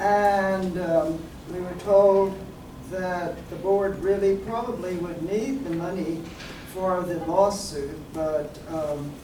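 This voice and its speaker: Very slow delivery over noticeable background noise. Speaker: committee presenter. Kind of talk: public meeting. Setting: public board meeting. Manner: soft-spoken.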